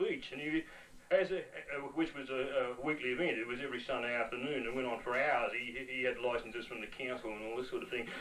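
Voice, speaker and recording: Against noticeable background noise, a man talks at a very fast pace with an Australian accent. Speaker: performance poet. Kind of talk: storytelling interview. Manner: halting, many repetitions.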